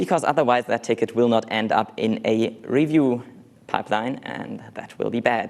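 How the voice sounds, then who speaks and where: Moderate pace with ordinary pitch variation. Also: man, medium pitch for a man. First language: not English. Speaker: conference speaker, software developer. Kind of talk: conference talk.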